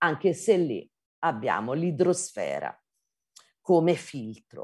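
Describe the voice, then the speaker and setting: Vocal fry colors a woman's fairly low voice as she speaks at a very slow pace. Her pitch swings very widely against a quiet background. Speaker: geology professor; lecturer. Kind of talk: lecture. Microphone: video call.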